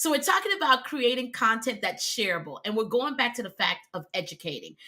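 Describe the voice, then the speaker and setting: A woman with an American accent speaks at a fairly quick pace in a high voice. Her pitch swings very widely and her tone is animated. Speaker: video content coach. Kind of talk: live stream talk to audience.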